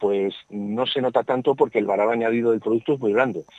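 The man's medium-pitched voice has fairly even intonation, recorded dry and close with no echo. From Spain, Burgos (Castile). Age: 60s. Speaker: agricultural engineer. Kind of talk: radio interview. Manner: halting, many repetitions and fillers.

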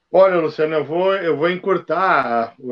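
A man with an unremarkable speaking voice at a moderate pace, with ordinary pitch variation. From Rio Grande do Sul, Brazil (Novo Hamburgo). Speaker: sales consultant and speaker. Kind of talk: casual chat. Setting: live stream.

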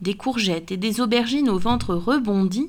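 The voice sounds natural. It is reading text aloud.

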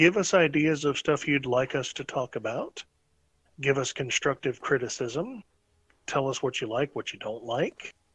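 This man has an unremarkable speaking voice, fairly high in pitch with ordinary pitch variation. He talks at a moderate pace over a quiet background. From North Carolina. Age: 30s. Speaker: podcast host. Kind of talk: casual chat.

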